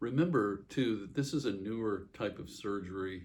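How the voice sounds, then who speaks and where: A man speaks with a fairly low pitch and lively intonation. His voice is somewhat breathy. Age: 60s. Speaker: vlogger sharing surgery recovery. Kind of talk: casual personal vlog. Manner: halting, many fillers.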